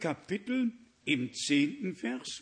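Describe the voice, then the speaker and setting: A man's high-pitched voice at a very slow pace. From Danzig region (former West Prussia). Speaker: preacher. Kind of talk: sermon. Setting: church with congregation.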